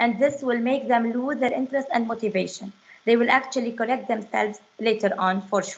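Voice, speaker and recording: With a non-native accent, a woman talks at a fairly quick pace, her fairly high pitch following a fairly even intonation. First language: not English. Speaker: French teacher. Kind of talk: webinar presentation. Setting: online webinar. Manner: halting, many fillers.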